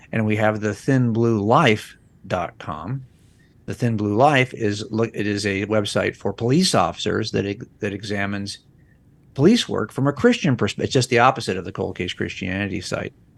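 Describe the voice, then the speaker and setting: A man with a plain, everyday voice speaks at a moderate pace and a fairly low pitch. His pitch varies in an ordinary way over a quiet background. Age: 60s. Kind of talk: podcast interview.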